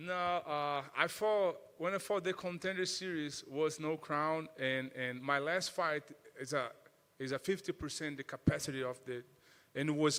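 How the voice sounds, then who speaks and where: In a Portuguese accent, the speaker moves at a moderate pace with ordinary pitch variation. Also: man. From Brazil. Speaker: mixed martial arts fighter. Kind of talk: interview. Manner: halting, many repetitions.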